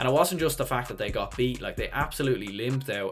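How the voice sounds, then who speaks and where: A man with a medium-pitched voice speaks with a Dublin accent. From Ireland, Dublin. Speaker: sports YouTuber, hurling pundit. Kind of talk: solo preview commentary. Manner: casual, conversational.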